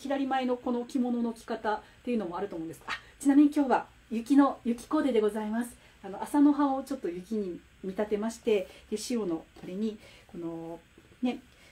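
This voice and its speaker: In an animated tone, a woman with fairly high pitch speaks at a fairly quick pace, with lively intonation and big swings in loudness. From Japan. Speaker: picture book author and watercolor artist hosting a livestream; host of a poetry talk livestream. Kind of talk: casual livestream talk about classical poetry. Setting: livestream with live comments. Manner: animated, stumbling with fillers. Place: home room. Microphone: phone near.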